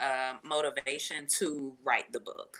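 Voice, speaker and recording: A woman with a Jacksonville accent speaks very slowly in a bright, sharp tone. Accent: Jacksonville, Florida. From Jacksonville, Florida. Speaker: nurse and author. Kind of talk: live interview. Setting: livestream.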